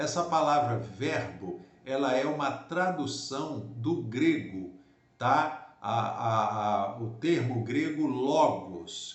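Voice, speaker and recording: A man talks very slowly in a fairly high, somewhat breathy voice with lively intonation. The room echo is audible. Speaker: pastor. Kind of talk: Bible teaching. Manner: slow, deliberate.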